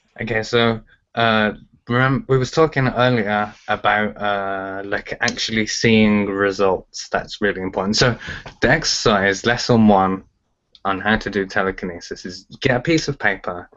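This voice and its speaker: A man speaks with a Birmingham accent at a fairly low pitch. His pace is moderate and his pitch varies in an ordinary way. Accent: Birmingham (Brummie) English. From England, Birmingham. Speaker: telekinesis teacher. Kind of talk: interview. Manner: casual, filler-heavy.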